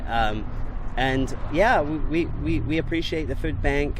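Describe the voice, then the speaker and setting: A man at a fairly slow pace, with noticeable background noise and audible room echo. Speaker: mail carrier. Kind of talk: radio interview. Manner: halting, many fillers and repeats.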